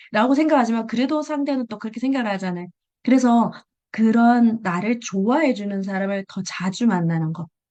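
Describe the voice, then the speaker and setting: A woman talks at a fairly quick pace with lively intonation and big swings in loudness. Her pitch is fairly high, and her tone is dark and mellow. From Busan, South Korea. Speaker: direct sales seller sharing tips. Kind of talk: presentation in an online meeting. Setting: video call. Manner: conversational, with fillers.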